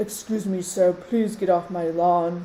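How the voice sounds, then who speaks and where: A female-sounding put-on character voice growls at a middle pitch and a fairly slow pace. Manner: gruff, polite but scolding.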